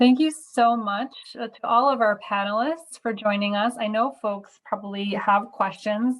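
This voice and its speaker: A woman with a somewhat breathy, fairly high voice talks at a moderate pace with ordinary pitch variation and hardly any pauses. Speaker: nonprofit advocacy director, webinar host. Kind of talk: webinar moderation.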